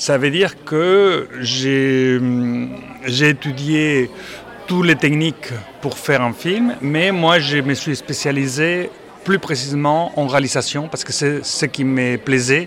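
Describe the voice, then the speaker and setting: Over noticeable background noise, the words come out very slowly. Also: man, fairly high pitch for a man, ordinary pitch variation. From Spain. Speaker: theatre director. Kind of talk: interview. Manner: halting.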